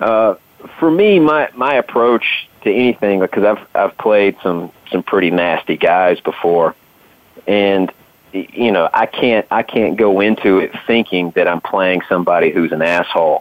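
Speaking fairly slowly with a Southern US accent, a man keeps a fairly low pitch, ordinary pitch variation and very even loudness. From US South. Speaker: actor. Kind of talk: casual chat.

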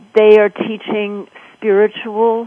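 This woman has an American accent. She speaks at a very slow pace. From New York. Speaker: actress and performance coach. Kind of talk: radio interview.

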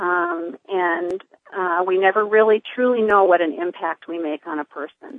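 Here a woman uses an ordinary speaking voice at a fairly low pitch and moderate pace, with ordinary pitch variation and big swings in loudness. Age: 50s. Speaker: nurse practitioner and cancer patient. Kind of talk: casual interview.

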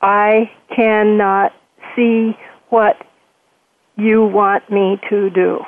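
A put-on, robotic character voice sounds female and sits at a medium pitch. It moves very slowly in a monotone, flat delivery with long, frequent pauses. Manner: each word distinct, no inflection.

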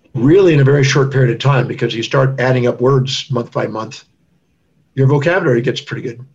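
A somewhat breathy man's voice of medium pitch, with an American accent. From Texas. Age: 60s. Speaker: doctor and author. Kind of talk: interview.

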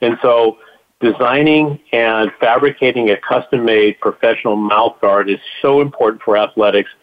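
A man's medium-pitched, plain, everyday voice, with fairly even intonation, very even loudness and a moderate pace. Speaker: doctor/dentist giving health update. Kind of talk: radio update.

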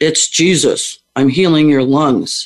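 Putting on a character voice, the man keeps his pitch fairly high and his delivery fairly slow.

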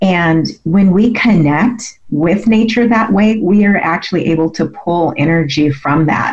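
A woman with an unremarkable speaking voice talks at a fairly slow pace, her fairly low pitch showing ordinary variation and her loudness very even. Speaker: MS advocate and health coach. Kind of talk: radio interview, conversational personal storytelling. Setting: radio show interview. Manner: conversational, reflective, with filler words.

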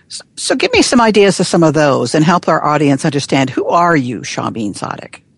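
A woman with a very deep, low voice speaks at a fairly quick pace with hardly any pauses. Her tone is warm and enthusiastic, and her intonation is lively. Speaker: coach and storyteller. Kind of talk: casual conversational interview. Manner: warm, enthusiastic.

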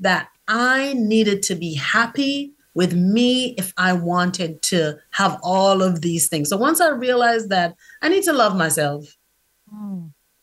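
In a plain, everyday voice of medium pitch, a woman speaks at a fairly slow pace with lively intonation on a very clean recording with a silent background. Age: 40s. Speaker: author and publishing coach. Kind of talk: casual chat.

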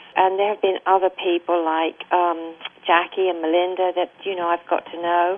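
In an English accent, a woman with a fairly low pitch speaks at a moderate pace in monotone, flat intonation. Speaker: denied immigrant. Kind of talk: interview.

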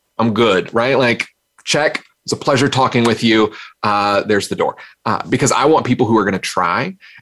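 Delivered at a fairly quick pace in an American accent, this is an unremarkable speaking voice with ordinary pitch variation. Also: man. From US South, North Carolina. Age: 40s. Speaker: keynote speaker. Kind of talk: interview conversation.

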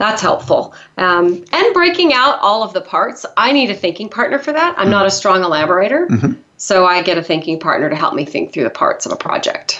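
Speaking at a fairly quick pace with hardly any pauses, a woman uses a medium pitch. Her pitch swings are very wide, and there is noticeable background noise. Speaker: leadership consultant and co-host. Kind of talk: casual co-hosted radio talk.

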